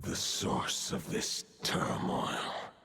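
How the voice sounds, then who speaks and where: Using a put-on character voice, a man growls. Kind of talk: video game voice acting. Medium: game stream. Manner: archaic, solemn.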